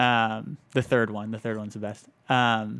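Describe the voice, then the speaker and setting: A man speaks at a moderate pace in a plain, everyday voice, with medium pitch and fairly even intonation. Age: 30s. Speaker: photojournalist. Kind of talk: casual chat.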